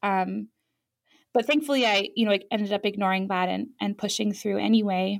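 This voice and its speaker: Speaking at a fairly quick pace, a woman has a plain, everyday voice with fairly even intonation. The recording is very clean, with a silent background. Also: medium pitch for a woman. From Europe (France, Ireland, Germany), American family. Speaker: tattoo artist and shop owner. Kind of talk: interview.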